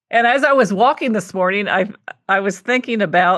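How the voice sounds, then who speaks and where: A woman with an American accent and lively intonation, against a quiet background. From Kentucky, US South. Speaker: podcast host, cookbook writing coach. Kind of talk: interview conversation. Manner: casual, frequent fillers.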